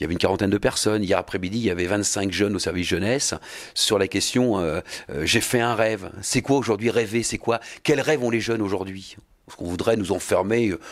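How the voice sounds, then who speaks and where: A man talks fairly quickly with ordinary pitch variation, the background quiet. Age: 50s. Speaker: mayor. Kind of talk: interview. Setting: mayor's office. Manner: halting, frequent repetitions and hesitations. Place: office. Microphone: handheld.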